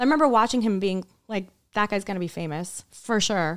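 A woman with an American accent has an unremarkable speaking voice at a medium pitch, with lively intonation. She talks at a fairly quick pace on a very clean recording with a silent background. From Philadelphia suburbs, Pennsylvania. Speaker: stand-up comedian. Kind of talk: casual chat.

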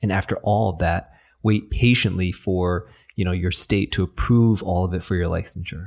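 In a very clean recording with a silent background, a man with an American accent speaks at a fairly low pitch in an ordinary speaking voice. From New York (Chinatown), US. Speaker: podcast host, acupuncturist and physical therapist. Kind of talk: educational monologue. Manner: encouraging, upbeat.

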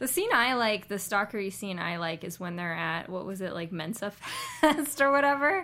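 At a moderate pace and with hardly any pauses, a woman talks at medium pitch with big swings in loudness over noticeable background noise. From Germany. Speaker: co-host. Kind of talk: casual chat.

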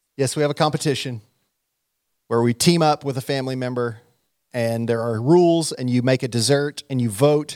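A normal speaking voice from a man at medium pitch, fairly quick and fairly even in intonation, with a dry, close sound and no echo. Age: 40s. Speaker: sports commentator. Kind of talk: casual chat.

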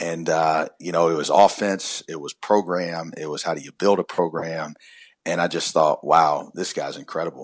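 In an American accent, a man with a very deep, low pitch talks at a moderate pace over a quiet background. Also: fairly even intonation, big swings in loudness. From US South. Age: 30s. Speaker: college basketball head coach. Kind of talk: casual chat.

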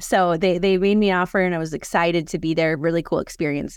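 A woman with an American accent, a normal speaking voice, medium pitch and a fairly quick pace, on a very clean recording with a silent background. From Minnesota, Hutchinson. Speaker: marketing consultant and company founder. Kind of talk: interview conversation.

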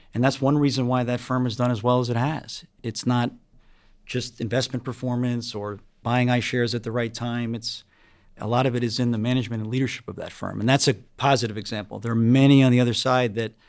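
In a very clean recording with a silent background, a man speaks at a medium pitch. His intonation is monotone and flat, at a fairly quick pace. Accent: American. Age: 50s. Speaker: financial firm chief executive. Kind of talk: interview.

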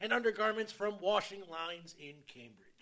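A man speaks in a raised, projected voice with a bright, sharp tone. His pitch is high with ordinary variation, and his pace is fairly quick. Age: 30s. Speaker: podcast co-host. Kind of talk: casual chat. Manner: stutter.

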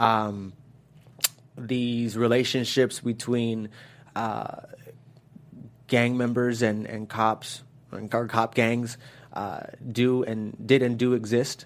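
A man with an American accent speaks at a very slow pace with long, frequent pauses. His medium-pitched voice stays monotone and flat. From Los Angeles, US. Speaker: actor. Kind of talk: interview. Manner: halting, many fillers and repeats.

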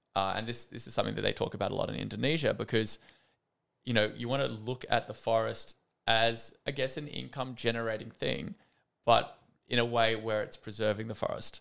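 A man with an Australian accent speaks fairly quickly. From Australia, Sydney. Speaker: architect. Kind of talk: casual interview.

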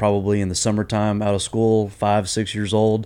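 This man speaks at a fairly low pitch in a Texan accent. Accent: Texan American. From Houston, Texas. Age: 30s. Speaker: business owner. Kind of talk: interview. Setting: on location at his business.

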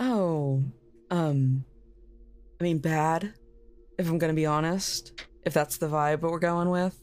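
Over background music, a woman speaks at a fairly low pitch and a fairly slow pace, with long, frequent pauses. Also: ordinary pitch variation, very even loudness. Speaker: player and prop maker. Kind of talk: tabletop roleplaying game session.

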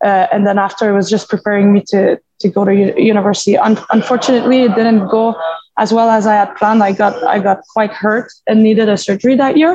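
Speaking at a very fast pace, a woman with a French Canadian accent has a dark, mellow tone. Her loudness stays very even. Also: ordinary pitch variation. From Quebec. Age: 30s. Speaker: former hockey player and gym owner. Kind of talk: casual interview.

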